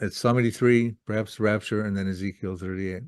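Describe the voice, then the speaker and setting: Against a quiet background, the voice holds a monotone, flat intonation. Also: man. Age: 70s. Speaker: Bible prophecy author. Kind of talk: Q and A interview. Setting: video call.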